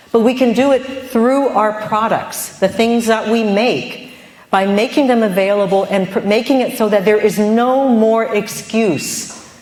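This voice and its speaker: A woman speaks at a moderate pace with a fairly high pitch and ordinary pitch variation. Noticeable background noise and audible room echo are present. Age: 50s. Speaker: vegan food entrepreneur and cookbook author. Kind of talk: conference talk. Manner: animated.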